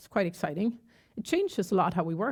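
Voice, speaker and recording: A woman with a Gothenburg accent at a fairly quick pace, in a very clean recording with a silent background. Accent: Gothenburg Swedish. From Sweden, Gothenburg. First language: Swedish. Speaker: tech company CEO. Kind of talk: conference talk. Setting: stage with audience.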